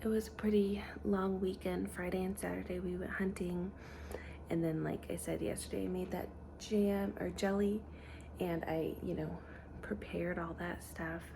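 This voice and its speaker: Soft-spoken, a woman talks at a moderate pace amid noticeable background noise and audible room echo. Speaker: stay-at-home mom vlogger. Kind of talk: casual vlog narration. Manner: soft-spoken, talking quietly; casual, filler-heavy.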